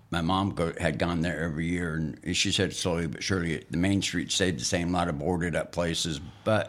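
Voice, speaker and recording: Amid audible room echo, a man with an American accent talks at a fairly quick pace in a very deep, low voice with vocal fry and ordinary pitch variation. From northeastern Montana. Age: 60s. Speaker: host's father, sharing life history. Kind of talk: casual chat. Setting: studio.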